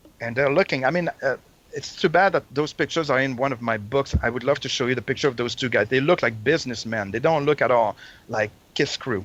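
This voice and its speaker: A man talks at a fairly quick pace in a medium pitch with ordinary pitch variation, the sound dry and close with no echo. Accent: Quebec. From Quebec City, Canada. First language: French. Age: 50s. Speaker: Kiss fan and collector. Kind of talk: storytelling interview. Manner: halting.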